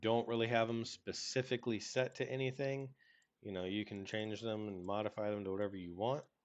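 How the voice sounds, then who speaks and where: Against a quiet background, an ordinary speaking voice moves at a fairly quick pace with fairly even intonation. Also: man, fairly low pitch for a man. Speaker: game development tutorial creator. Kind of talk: tutorial. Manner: casual.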